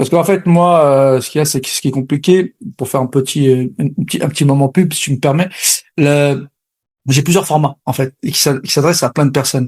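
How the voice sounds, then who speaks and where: A somewhat breathy man's voice, fairly high in pitch, with fairly even intonation. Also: fairly quick pace, very clean recording, silent background. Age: 40s. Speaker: sales coach. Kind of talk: interview.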